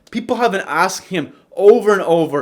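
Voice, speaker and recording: Lively in intonation, a man speaks at a fairly slow pace. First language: not English. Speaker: YouTuber narrating MMA fighter biography. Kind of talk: casual commentary narration. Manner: casual, joking.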